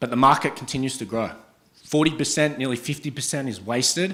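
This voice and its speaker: A man with an Australian accent is heard on a very clean recording with a silent background. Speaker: startup founder and CEO. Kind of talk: startup pitch presentation. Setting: stage with audience.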